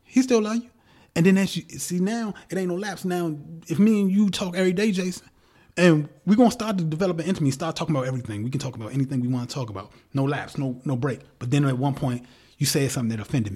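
A man's fairly high, dark, mellow voice at a very fast pace, with very wide pitch swings, in a very clean recording with a silent background. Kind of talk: casual chat.

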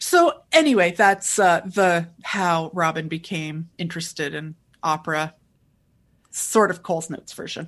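In an unremarkable speaking voice, a woman talks at a fairly slow pace against a quiet background. Her pitch is fairly low and her intonation fairly even. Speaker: podcast host and opera critic. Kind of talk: casual interview.

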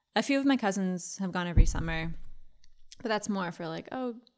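In a very clean recording with a silent background, a soft-spoken woman with an American accent talks at a medium pitch and a moderate pace. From Massachusetts, US. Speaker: podcaster. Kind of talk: casual interview chat.

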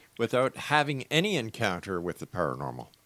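Recorded dry and close with no echo, a man at a medium pitch moves through very wide pitch swings. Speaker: radio host. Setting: studio. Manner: theatrical, rhythmic, broadcast-polished, warm and upbeat.

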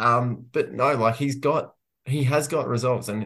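A man with an Australian accent talks at a moderate pace. His pitch varies in an ordinary way against a quiet background. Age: 20s. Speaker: football journalist. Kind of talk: casual chat.

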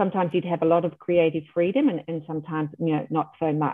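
A woman's fairly low voice with an Australian accent. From Australia, Melbourne. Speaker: milliner. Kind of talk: interview. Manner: hesitant, many fillers.

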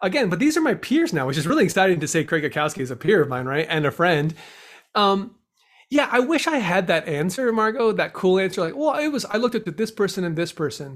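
A man with an American accent talks at a very fast pace. His high voice swings very widely in pitch. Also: very clean recording, silent background. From Southern California, Downey. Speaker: improviser and actor. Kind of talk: interview.

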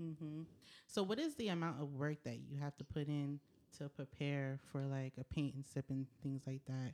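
A woman with a very deep, low pitch speaks in a dark, mellow tone at a moderate pace. Her intonation is fairly even, and the sound is dry and close with no echo. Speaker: podcast host. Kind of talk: casual interview chat.

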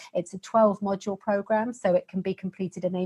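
A woman's medium-pitched, somewhat breathy voice with a British accent, fairly even intonation and a fairly quick pace, in a dry, close sound with no echo. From Britain. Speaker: fitness program founder, pelvic floor specialist. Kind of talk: interview.

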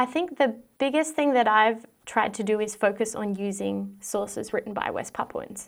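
In an Australian accent, a woman speaks with a fairly high pitch. Her pitch variation is ordinary. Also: moderate pace. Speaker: historian, PhD student. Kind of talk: interview.

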